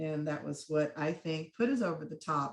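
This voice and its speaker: At a fairly slow pace, a woman talks in an unremarkable speaking voice. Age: 60s. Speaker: state legislative candidate. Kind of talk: panel talk at online campaign training.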